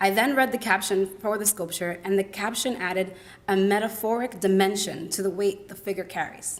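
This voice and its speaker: An unremarkable speaking voice belongs to this woman, pitched at a medium level. She moves at a fairly quick pace with ordinary pitch variation. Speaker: college student presenter. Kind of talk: academic presentation. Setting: symposium with audience.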